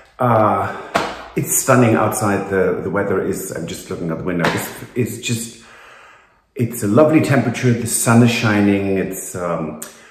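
Speaking at a moderate pace with a fairly low pitch and ordinary pitch variation, a man is heard with audible room echo. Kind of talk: casual vlog chat. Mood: cheerful, upbeat. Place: home room. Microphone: phone near.

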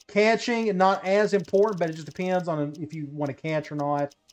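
A high-pitched man speaks at a moderate pace with ordinary pitch variation. Music plays in the background. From Tennessee. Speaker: gaming YouTuber. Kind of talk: tutorial. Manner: casual.

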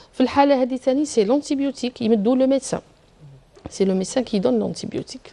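A woman talks very fast at a high pitch. Her pitch varies in an ordinary way. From Algeria. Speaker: pediatric surgeon; guest. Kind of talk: TV health interview. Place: studio. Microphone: lapel.

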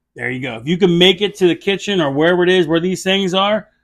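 This man has a high-pitched voice. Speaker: drink reviewer. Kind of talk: casual review chat. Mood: relaxed, joking. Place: bar.

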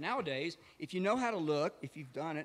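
A man speaks at a moderate pace. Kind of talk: storytelling between songs. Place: stage.

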